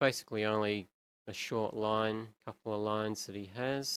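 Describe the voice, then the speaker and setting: Speaking at a moderate pace with an Australian accent, a man uses a fairly low pitch in a dry, close sound with no echo. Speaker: animator. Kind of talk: tutorial. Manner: casual.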